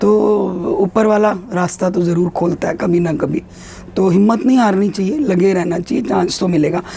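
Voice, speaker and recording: Noticeable background noise sits under a woman speaking at a fairly slow pace, her medium pitch showing ordinary pitch variation. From India. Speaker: actress. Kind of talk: interview answer.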